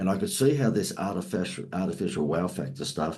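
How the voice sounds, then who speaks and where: A man with an Australian accent speaks at a fairly quick pace in a very deep, low pitch, with a dark, mellow tone and vocal fry. His intonation is lively, and audible room echo surrounds him. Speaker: marketing expert. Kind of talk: podcast interview.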